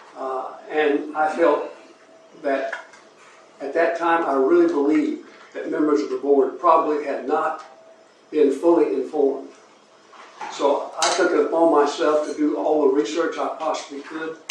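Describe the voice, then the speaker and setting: Male speaker with a Georgia accent, long, frequent pauses, audible room echo and noticeable background noise. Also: moderate pace. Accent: US Southern (Georgia). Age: 80s+. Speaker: retired resident giving public comment. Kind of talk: public comment at meeting. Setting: public meeting with audience. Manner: formal.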